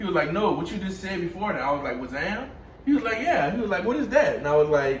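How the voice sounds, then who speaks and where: Over noticeable background noise and audible room echo, a high-pitched man makes very wide pitch swings. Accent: American. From US South, New Orleans, Louisiana. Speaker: boyfriend of the channel host. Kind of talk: casual chat. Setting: home kitchen, cooking on camera. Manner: relaxed, many filler phrases.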